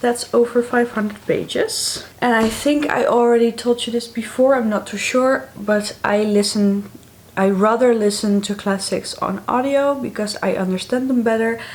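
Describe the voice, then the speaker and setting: Against noticeable background noise, someone with a Dutch accent speaks at a moderate pace with fairly even intonation and hardly any pauses. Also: woman, fairly high pitch for a woman. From Netherlands. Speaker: book vlogger. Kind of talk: casual vlog talk to camera.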